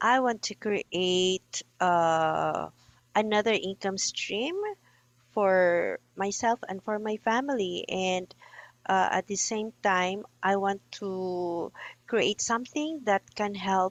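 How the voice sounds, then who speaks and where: A woman's medium-pitched voice at a very slow pace, with ordinary pitch variation. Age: 60s. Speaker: coaching client, business owner. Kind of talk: coaching session. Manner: halting.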